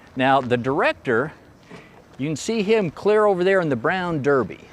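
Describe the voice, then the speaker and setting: The voice moves at a moderate pace with very wide pitch swings. Noticeable background noise runs underneath. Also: man. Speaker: filmmaker and actor hosting a set tour. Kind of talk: casual guided tour narration. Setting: outdoors on a western movie set. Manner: quiet, hushed near filming.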